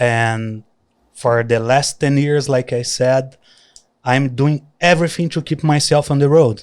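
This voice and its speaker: A man in a Brazilian accent, fairly even in intonation, on a very clean recording with a silent background. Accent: Brazilian countryside. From countryside Brazil. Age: young. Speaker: traveler and influencer. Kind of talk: casual interview.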